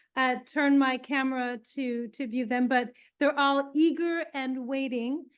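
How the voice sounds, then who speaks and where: A woman with a New York accent speaks at a fairly slow pace in a high voice with fairly even intonation against a quiet background. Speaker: library event host. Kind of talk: event introduction. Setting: in-person event, live-streamed, with audience.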